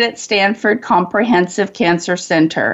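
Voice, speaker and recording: Lively intonation marks a woman's unremarkable speaking voice as she talks at a fairly slow pace. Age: 60s. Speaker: radio host and life coach. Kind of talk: promotional appeal; radio interview.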